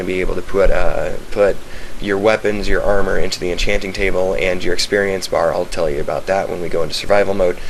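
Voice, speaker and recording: In audible room echo and noticeable background noise, a man talks at a very fast pace. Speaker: gamer showing a game server. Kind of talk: casual video game walkthrough. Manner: hesitant, many fillers.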